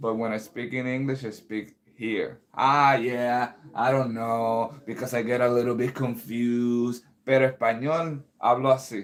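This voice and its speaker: A man's medium-pitched voice, fairly slow and monotone, with hardly any pauses. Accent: Spanish. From Puerto Rico. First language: Spanish. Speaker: composer and pianist streamer. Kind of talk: casual livestream chat.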